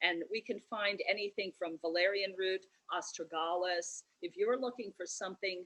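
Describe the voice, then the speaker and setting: A woman speaks at medium pitch and a moderate pace, in an unremarkable speaking voice. Her intonation is fairly even. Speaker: tea shop owner. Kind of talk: virtual event presentation.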